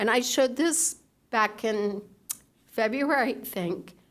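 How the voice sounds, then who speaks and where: Speaking very slowly with ordinary pitch variation, a woman with a fairly high voice is heard against audible room echo. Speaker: public commenter. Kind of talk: public comment with slides. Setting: city council meeting.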